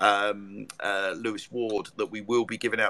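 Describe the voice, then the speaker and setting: This is a man speaking. He has an English accent. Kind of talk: casual live chat. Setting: live online audio room.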